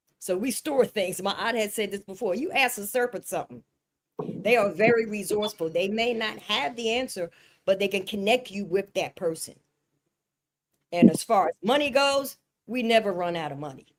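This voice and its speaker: The pace is moderate and the intonation lively. It is an unremarkable speaking voice. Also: woman, medium pitch for a woman. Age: 60s. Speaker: spiritual teacher. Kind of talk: spiritual panel discussion.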